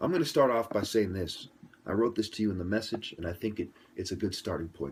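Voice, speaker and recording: A man talks at a very fast pace with lively intonation. His pitch is fairly low, and his voice is somewhat breathy. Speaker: commentator. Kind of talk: interview. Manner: soft-spoken.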